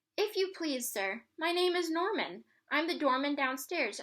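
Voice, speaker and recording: A put-on character voice sounds squeaky. It moves at a moderate pace. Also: woman, high pitch for a woman. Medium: read story.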